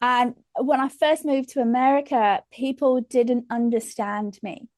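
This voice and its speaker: The sound is dry and close with no echo as a woman speaks in a strong English accent. Her pitch is high and her intonation fairly even at a fairly slow pace. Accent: English, still strong. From England. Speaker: comedian. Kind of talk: casual chat.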